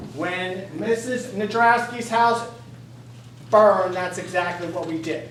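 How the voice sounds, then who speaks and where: Animated, fairly slow speech from a man at high pitch, ordinary pitch variation, audible room echo and noticeable background noise. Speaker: fire chief speaking at public comment. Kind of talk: public comment at council meeting. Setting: council meeting. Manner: animated, insistent.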